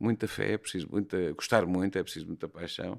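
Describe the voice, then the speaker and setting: A man's voice with fairly even intonation at a moderate pace, in a very clean recording with a silent background. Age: 60s. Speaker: bullfighting horseman and horse trainer. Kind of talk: podcast interview. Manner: hesitant, with fillers and repetitions.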